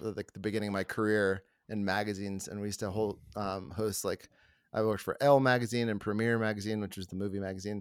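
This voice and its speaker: Speaking at a very fast pace, a man keeps a fairly low pitch and a monotone, flat intonation. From US Deep South. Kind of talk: casual chat. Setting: video call.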